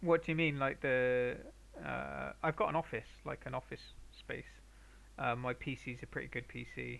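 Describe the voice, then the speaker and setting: Delivered at a moderate pace with a Bristolian accent, the speech has long, frequent pauses. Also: man. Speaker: painter streaming live. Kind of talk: casual chat with live stream viewers. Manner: halting. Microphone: viewers suggest a better mic.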